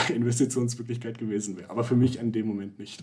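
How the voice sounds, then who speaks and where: This man's voice sits at a medium pitch. He keeps his intonation fairly even. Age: 20s. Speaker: finance founder, real estate investor. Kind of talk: casual interview. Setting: video call. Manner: hesitant, many filler sounds.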